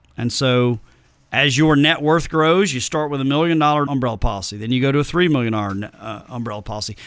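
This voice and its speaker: This very clean recording has a silent background. A man with a Tennessee accent talks at a fairly high pitch with ordinary pitch variation. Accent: Southern drawl, Tennessee. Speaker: financial planner. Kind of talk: podcast interview. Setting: studio.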